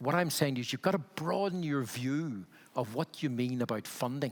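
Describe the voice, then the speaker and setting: A man with a Belfast accent. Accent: Belfast accent, retained. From Northern Ireland, Belfast. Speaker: health funding consultant, panelist. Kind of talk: panel discussion. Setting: conference stage with audience.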